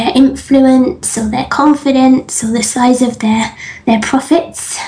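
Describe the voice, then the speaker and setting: A woman with an English accent speaks at a fairly slow pace in a high pitch. Noticeable background noise runs behind her. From England. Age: 30s. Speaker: business coach. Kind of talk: interview. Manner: laughs often.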